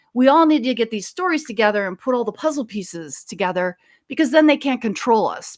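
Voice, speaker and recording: A woman with an American accent talks in an animated tone at a very fast pace, her fairly high voice swinging very widely in pitch with hardly any pauses, on a very clean recording with a silent background and a dry, close sound with no echo. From US Midwest, Minnesota (Fridley). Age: 60s. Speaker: author and paranormal experiencer. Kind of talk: interview.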